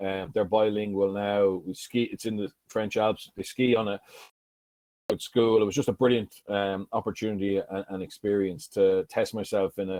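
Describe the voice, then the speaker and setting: A man's fairly low voice in a strong southeastern Irish accent, with fairly even intonation. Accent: strong Carlow Irish. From Ireland, County Carlow. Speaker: former rugby player and coach. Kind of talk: keynote speech. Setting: conference stage. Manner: conversational, anecdotal.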